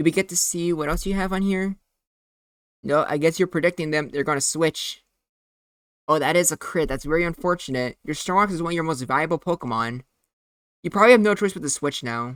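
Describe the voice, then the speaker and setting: Speech at a fairly quick pace is broken by long, frequent pauses, in a very clean recording with a silent background. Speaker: gaming commentator. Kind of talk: live commentary. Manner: fast; animated.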